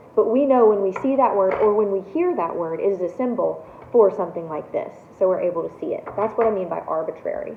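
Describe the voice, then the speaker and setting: A woman speaks at a very fast pace amid noticeable background noise and audible room echo. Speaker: college instructor. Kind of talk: lecture. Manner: casual, with many fillers.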